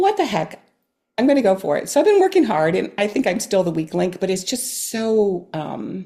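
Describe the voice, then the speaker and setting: At a moderate pace, a woman with a medium pitch and a dark, mellow tone speaks with lively intonation. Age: 60s. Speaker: amateur clarinetist and retired nurse practitioner. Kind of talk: casual interview.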